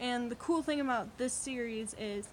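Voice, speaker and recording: Noticeable background noise sits behind a woman speaking at a fairly slow pace in a fairly high voice for a woman. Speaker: booktuber. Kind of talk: casual vlog book haul. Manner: halting, many fillers.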